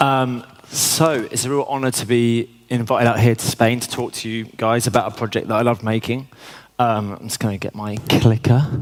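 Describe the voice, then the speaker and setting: Noticeable background noise sits behind a man with a medium pitch speaking at a moderate pace. His intonation is fairly even, while his loudness swings widely. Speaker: commercial director. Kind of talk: conference talk. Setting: stage with audience.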